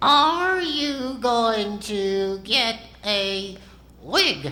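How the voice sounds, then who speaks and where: A man in a put-on character voice at an extremely high pitch. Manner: cheeky, sassy.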